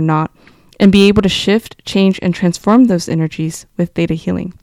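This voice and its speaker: With a Californian accent, a woman talks at a fairly quick pace in a medium pitch, her dark, mellow tone and fairly even intonation captured in a dry, close sound with no echo. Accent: Californian American. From US, California (Fresno region). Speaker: community organizer. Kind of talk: personal storytelling, read aloud.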